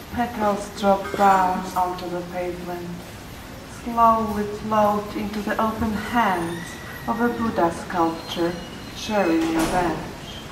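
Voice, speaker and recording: A woman with a Polish accent at a medium pitch, very slow, with fairly even intonation and noticeable background noise. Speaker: poet. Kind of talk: poetry reading. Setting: museum courtyard, live reading. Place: garden. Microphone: podium.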